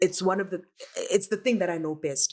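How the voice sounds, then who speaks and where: A woman talks at a medium pitch with a South African accent and ordinary pitch variation. The recording is very clean, with a silent background. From South Africa, Soweto. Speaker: dancer and performer. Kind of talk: podcast interview.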